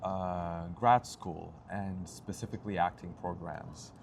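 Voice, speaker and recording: Here a man talks with a Turkish accent. His intonation stays fairly even. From Turkey. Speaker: actor and playwright. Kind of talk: interview.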